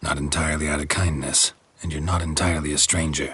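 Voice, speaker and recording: A man uses a put-on character voice, very deep and low. It runs very fast in a monotone, flat delivery. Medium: machinima. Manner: terse, dry.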